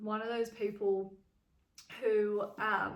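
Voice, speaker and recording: A woman with an Australian accent speaks at a fairly high pitch. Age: 20s. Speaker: vlogger. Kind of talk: casual chat. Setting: at home in a cabin. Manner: casual, with many fillers like um.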